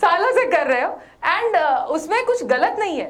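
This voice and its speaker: Woman's voice with very wide pitch swings and audible room echo. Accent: Gujarati. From India, Gujarat (Bhavnagar). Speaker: corporate trainer. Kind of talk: workshop talk. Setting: stage with audience in hotel hall. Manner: Hindi-English code-switching.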